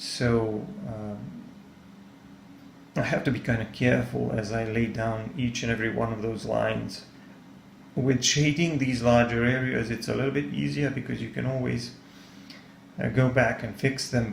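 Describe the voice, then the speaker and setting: With a Serbian accent, a man talks at medium pitch and a moderate pace. His pitch varies in an ordinary way, and the room echo is audible. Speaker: art tutor / artist. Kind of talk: tutorial. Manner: halting, many fillers.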